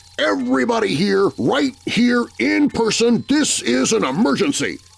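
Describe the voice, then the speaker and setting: Putting on a character voice, a man speaks at a moderate pace in a high pitch with very wide pitch swings and very even loudness. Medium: read story. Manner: petulant, bossy.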